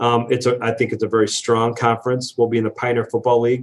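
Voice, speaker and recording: At a very fast pace, a man talks in a medium pitch with an American accent. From Wisconsin, US Midwest. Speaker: college athletic director. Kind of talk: interview. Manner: halting, many fillers.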